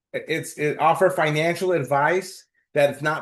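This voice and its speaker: A somewhat breathy man is heard over a quiet background. His pitch varies in an ordinary way. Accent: American. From US, East Los Angeles. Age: 60s. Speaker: financial planner. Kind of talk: interview.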